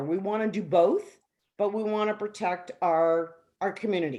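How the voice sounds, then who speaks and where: A woman with an ordinary speaking voice and medium pitch talks at a fairly slow pace against a quiet background. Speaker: resident caller at town hall. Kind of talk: public meeting question.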